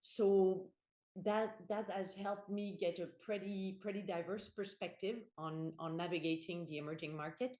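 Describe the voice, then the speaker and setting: A woman with a French accent speaks in a dark, mellow tone at a medium pitch, her moderate pace matched by fairly even intonation. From France. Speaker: corporate board director. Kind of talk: podcast interview. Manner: halting, many fillers and repetitions.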